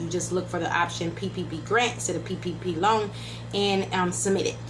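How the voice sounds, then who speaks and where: A woman's voice with audible room echo and music in the background. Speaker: YouTube political commentator. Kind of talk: casual vlog commentary. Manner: fast.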